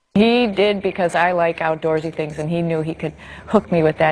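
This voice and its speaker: A woman with an American accent at a very fast pace, noticeable background noise behind her. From US Northeast, Needham near Boston, Massachusetts. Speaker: astronaut. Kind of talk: interview.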